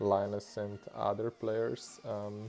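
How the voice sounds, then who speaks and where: With a Slavic accent, a man speaks in a fairly low voice while music plays in the background. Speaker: gaming YouTuber. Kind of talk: video game commentary narration. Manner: low energy; hesitant, many fillers. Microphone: bad mic quality.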